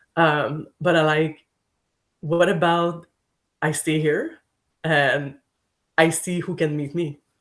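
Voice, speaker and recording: Speaking with a French accent at a very slow pace, the voice leaves long, frequent pauses. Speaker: podcast guest. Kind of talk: casual chat.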